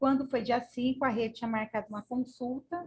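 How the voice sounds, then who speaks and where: A woman's high voice with ordinary pitch variation. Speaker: person with a rare illness. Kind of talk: testimony. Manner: animated.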